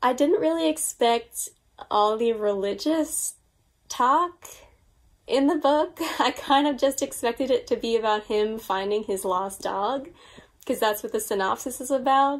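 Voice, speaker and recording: Against a quiet background, the speaker uses an American accent, a fairly slow pace and lively intonation. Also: woman, high pitch for a woman. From US, Long Island, New York; New York. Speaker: book YouTuber. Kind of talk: casual vlog monologue. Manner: animated. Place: home room.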